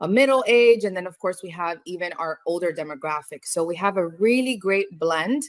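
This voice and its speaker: Her American accent carries a medium pitch and ordinary pitch variation as this woman speaks at a moderate pace. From New York. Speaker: cruise line business development manager. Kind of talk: webinar presentation. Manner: animated.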